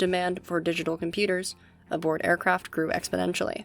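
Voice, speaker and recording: A woman talks quietly at a very fast pace. Music plays in the background. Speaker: university student. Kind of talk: military history narration. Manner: hushed, kept quiet.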